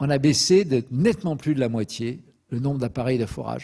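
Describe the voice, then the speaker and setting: A man speaks at medium pitch with a dark, mellow tone and vocal fry. His pace is fairly quick, with ordinary pitch variation. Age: 70s. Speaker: petroleum expert lecturer. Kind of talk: lecture. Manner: hesitant fillers (euh).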